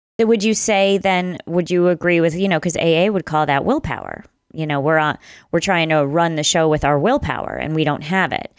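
An ordinary speaking voice from a woman with an American accent, fairly low in pitch, at a fairly quick pace with ordinary pitch variation, on a very clean recording with a silent background. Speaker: author, memoir writer.

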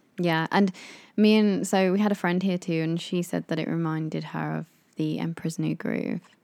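A woman speaks in a normal speaking voice. Her intonation stays fairly even. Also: fairly low pitch for a woman, moderate pace, very clean recording, silent background. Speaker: podcast co-host. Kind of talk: casual chat between a couple.

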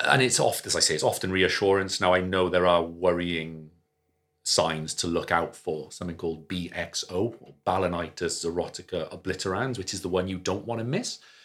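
Very deep male voice in a Welsh accent, moderate pace, with big swings in loudness. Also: fairly even intonation, very clean recording, silent background. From Wales, Cardiff. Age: 30s. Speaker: general practitioner. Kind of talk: casual chat.

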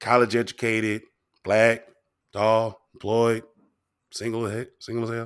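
A man in a very clean recording with a silent background, monotone and flat in intonation, with long, frequent pauses. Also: medium pitch for a man. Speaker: podcast co-host, guest. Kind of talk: casual chat, interview.

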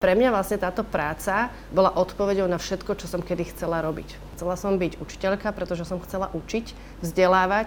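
Showing vocal fry, a woman speaks at a fairly quick pace with a medium pitch and fairly even intonation. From Slovakia. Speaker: yachtswoman and financial advisor. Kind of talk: interview testimony.

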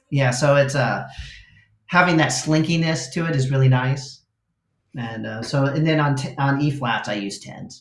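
In an American accent, a man with a fairly high pitch speaks at a moderate pace with ordinary pitch variation, and audible room echo is present. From Los Angeles suburbs, California. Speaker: guitarist. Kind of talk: casual chat.

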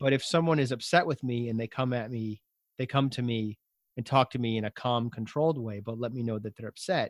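The man's voice sits at a medium pitch with ordinary pitch variation and a fairly quick pace. The sound is dry and close with no echo. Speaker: podcast host and ADHD coach. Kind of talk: interview. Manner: fast when excited; loud when excited.

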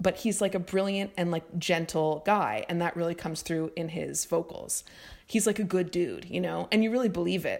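Vocal fry runs through the woman's speech, and her pitch varies in an ordinary way. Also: fairly low pitch for a woman, moderate pace, very clean recording, silent background. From Montreal and Vermont. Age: 30s. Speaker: writer. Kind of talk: casual chat.

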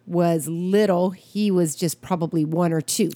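A woman at a very slow pace on a very clean recording with a silent background. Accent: American. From US Midwest, Wisconsin. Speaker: pastor and podcast co-host. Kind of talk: casual chat.

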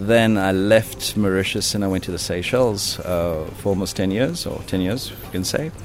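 With noticeable background noise and audible room echo, a man with a very deep, low pitch talks at a moderate pace with hardly any pauses. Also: ordinary pitch variation. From South Africa. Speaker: hotel general manager. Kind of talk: interview. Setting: on location at a hotel. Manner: hesitant with many fillers.

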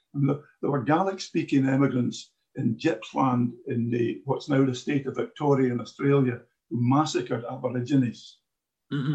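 Here a man speaks with a Glaswegian accent at a moderate pace. His voice is somewhat breathy and fairly high, with ordinary pitch variation. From Glasgow, Scotland. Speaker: audience member asking questions. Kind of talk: audience question in a discussion.

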